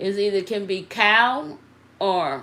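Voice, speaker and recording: With a Southern US accent, a woman speaks in a room with audible echo. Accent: Southern drawl. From US South. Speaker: nail technician. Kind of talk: live tutorial. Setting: livestream. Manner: conversational, interactive.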